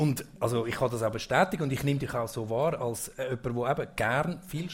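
At a fairly quick pace, a medium-pitched man speaks somewhat breathily with ordinary pitch variation. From central Switzerland, Obwalden. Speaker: event host. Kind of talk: casual stage interview. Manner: halting.

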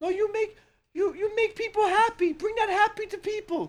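Someone speaks in a put-on character voice at an extremely high pitch. The pace is moderate. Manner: warm, encouraging.

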